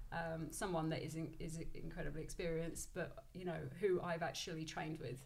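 Her pitch fairly low and her intonation fairly even, a woman is heard with audible room echo. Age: 30s. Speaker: business founder and fitness coach. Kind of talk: casual interview.

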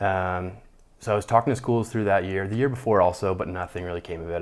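A man with a western Canadian accent talks very fast at a very deep, low pitch with ordinary variation. The recording is very clean, with a silent background. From Canada, Calgary, Alberta. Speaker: World Cup ski racer. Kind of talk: interview.

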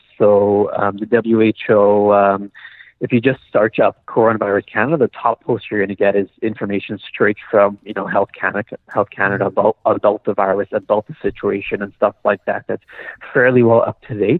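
An ordinary speaking voice from a man, fairly low in pitch, moderate in pace, with fairly even intonation. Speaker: doctor. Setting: phone call.

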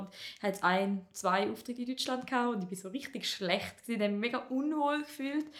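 Talking at a fairly quick pace, a woman shows ordinary pitch variation. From Appenzell Ausserrhoden, eastern Switzerland. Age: 20s. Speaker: comedian. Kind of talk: casual chat.

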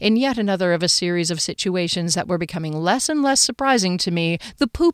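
The speaker gives a plain reading aloud with lively intonation.

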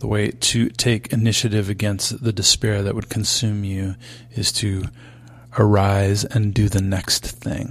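A man talks at a fairly low pitch, somewhat breathy. His intonation stays monotone and flat. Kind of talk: interview. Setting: on tour before a concert.

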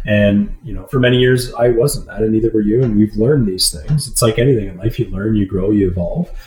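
Over noticeable background noise, a man with a Canadian accent speaks at a medium pitch and a fairly quick pace, with ordinary pitch variation and hardly any pauses. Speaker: podcast co-host and marathon runner. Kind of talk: casual chat. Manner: halting, many fillers and repetitions.

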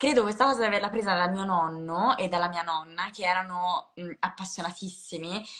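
A woman's medium-pitched voice at a fairly quick clip, with hardly any pauses, ordinary pitch variation and noticeable background noise. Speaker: comedian. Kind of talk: casual chat.

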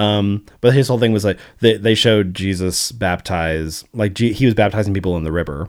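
In an ordinary speaking voice, a man with an American accent talks at a fairly quick pace with fairly low pitch and ordinary pitch variation, on a very clean recording with a silent background. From US South (Arkansas). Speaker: podcast producer. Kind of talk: casual chat.

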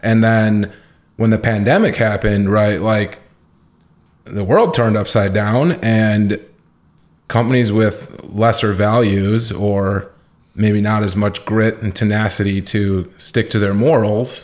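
Here a man with an unremarkable speaking voice talks at a fairly slow pace, his pitch fairly low and intonation fairly even. The recording is very clean, the background silent. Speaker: entrepreneur. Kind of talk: interview. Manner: casual, filler-heavy.

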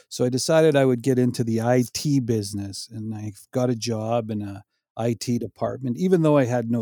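A man talks with a dark, mellow tone. The sound is dry and close, without echo. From Saskatchewan, Canada. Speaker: e-commerce seller. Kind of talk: casual interview.

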